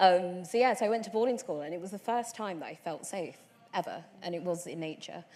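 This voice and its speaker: A woman with a London accent, medium pitch and ordinary pitch variation, a dark, mellow tone, big swings in loudness and a fairly quick pace. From London, Tottenham. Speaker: environmentalist. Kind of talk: panel discussion.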